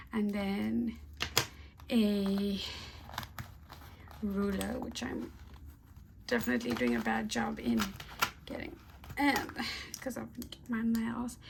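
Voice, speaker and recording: A woman whispers in a soft-spoken voice at a very slow pace, with long, frequent pauses. There is audible room echo and noticeable background noise. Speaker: crochet YouTuber. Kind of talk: product review and unboxing. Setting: at home in apartment. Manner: casual, hesitant with fillers; whispering, soft-spoken.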